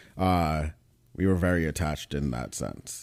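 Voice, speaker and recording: In a very clean recording with a silent background, the speaker uses monotone, flat intonation with an American accent. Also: man. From New York. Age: 30s. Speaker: podcast guest, pre-med student. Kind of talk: casual interview chat.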